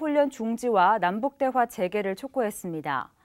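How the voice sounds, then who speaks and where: Woman's voice at a moderate pace with lively intonation, on a very clean recording with a silent background. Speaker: news anchor. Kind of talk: news reading. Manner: formal.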